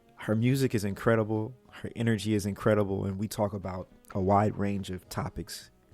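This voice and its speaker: Music plays in the background as a man speaks at a fairly quick pace. His pitch is fairly low and his intonation is monotone and flat. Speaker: podcast host. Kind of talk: podcast intro.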